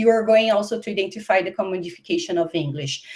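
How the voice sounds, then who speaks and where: With a Brazilian accent, a woman talks at a medium pitch with ordinary pitch variation. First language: Portuguese. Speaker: university professor. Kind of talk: webinar lecture. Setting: online webinar. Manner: hesitant, with fillers and restarts.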